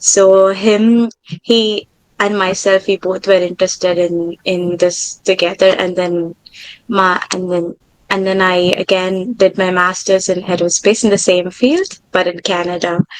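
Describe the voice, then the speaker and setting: With a Tamil accent, a woman speaks at a fairly slow pace. Her intonation is monotone and flat. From India, Tamil-speaking. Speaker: aerospace engineer. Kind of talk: interview.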